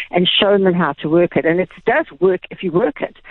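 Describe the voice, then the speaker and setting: A woman's medium-pitched voice with a South African accent at a very fast pace. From South Africa, Durban. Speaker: retail executive. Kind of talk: radio interview.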